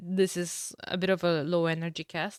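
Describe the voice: This woman has a fairly low pitch and a clear, smooth tone, with little pitch movement. She speaks at a moderate pace in a dry, close sound with no echo.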